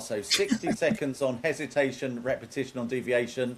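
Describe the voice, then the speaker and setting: At a fairly quick pace, a man with a medium pitch and lively intonation talks in a plain, everyday voice. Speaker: game show host. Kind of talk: game show hosting.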